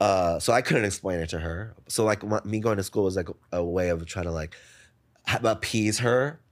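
A man with an American accent uses a plain, everyday voice, speaking at a moderate pace with fairly low pitch and ordinary pitch variation. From New Jersey, US. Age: 30s. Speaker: DJ, writer and event producer. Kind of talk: casual interview chat. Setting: in-person recording with cameras. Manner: laughs often.

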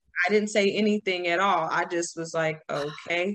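The woman has an unremarkable speaking voice, medium in pitch with ordinary pitch variation. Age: 30s. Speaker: thyroid patient sharing her story. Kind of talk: testimony.

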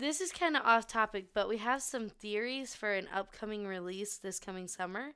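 A woman with an American accent, fairly high-pitched and bright and sharp in tone, at a moderate pace with hardly any pauses and ordinary pitch variation, in a very clean recording with a silent background. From West Virginia. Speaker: podcast co-host. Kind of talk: casual chat.

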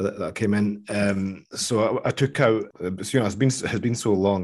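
In front of a quiet background, a man with a plain, everyday voice speaks at a fairly low pitch with fairly even intonation. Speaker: fantasy football guest expert. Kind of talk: casual chat about fantasy football.

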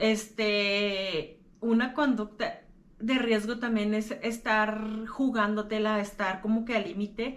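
A woman with a fairly high voice talks at a very slow pace with fairly even intonation, and room echo is audible. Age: 30s. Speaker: podcaster sharing lived experience of mental illness. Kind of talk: personal talk to camera.

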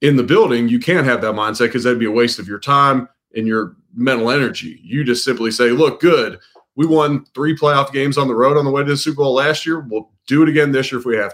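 Speaking at a fairly quick pace with an American accent and ordinary pitch variation, this is a plain, everyday voice. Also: man, medium pitch for a man. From Cincinnati, Ohio. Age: 30s. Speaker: sports reporter covering an NFL team. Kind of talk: podcast interview.

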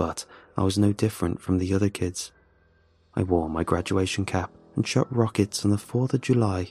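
In a very clean recording with a silent background and a dry, close sound without echo, a man with a fairly low pitch and a dark, mellow tone speaks at a moderate pace in a dramatic tone, his intonation fairly even and his loudness very even. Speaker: horror story narrator. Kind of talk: ghost story telling, first-person horror narration. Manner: hushed, tense, dramatic, with halting voices for characters.

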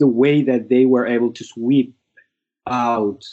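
Speaking at a fairly slow pace, a man uses a medium pitch and a Somali accent. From Somalia. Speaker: memoir author and former refugee. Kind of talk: interview answers. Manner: halting, hesitant.

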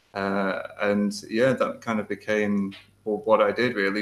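With a British accent, a man talks in a fairly low pitch and a monotone, flat intonation. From UK. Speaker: software developer. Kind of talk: interview; tutorial.

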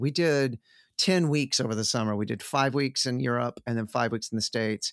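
In a dry, close sound with no echo, a man with an American accent uses a normal speaking voice at a medium pitch and a fairly quick pace. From Texas (Sherman, north Texas). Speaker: rock guitarist. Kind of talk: casual chat.

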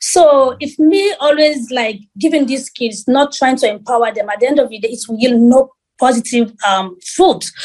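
Big swings in loudness mark this moderate-paced speech, which has hardly any pauses. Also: woman, high pitch for a woman, ordinary pitch variation. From Sierra Leone. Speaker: beauty pageant queen and model. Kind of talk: interview.

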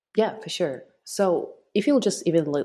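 A woman speaks with a Russian accent. The background is quiet. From Russia, Moscow. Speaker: web3 marketing lead. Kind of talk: interview.

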